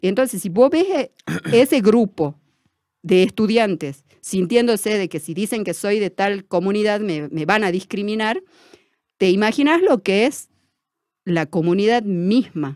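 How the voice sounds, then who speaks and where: A woman with an unremarkable speaking voice talks fairly slowly at medium pitch with lively intonation, the sound dry and close with no echo. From Argentina, Tartagal (Salta), Sachapera community. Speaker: teacher-training student and community educator. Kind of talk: interview. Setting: studio.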